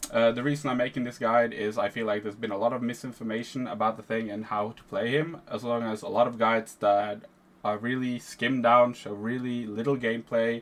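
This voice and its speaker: A man speaks with a Norwegian accent at a medium pitch. His intonation is monotone and flat, with hardly any pauses. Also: fairly quick pace. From Norway. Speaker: video game guide creator. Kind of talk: tutorial. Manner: casual.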